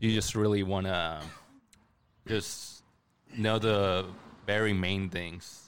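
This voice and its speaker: A man talks at a very slow pace in a very deep, low voice, leaving long, frequent pauses. His intonation stays fairly even, and the room echo is audible. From Mexican heritage. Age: young. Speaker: photographer and investor. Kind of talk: casual chat.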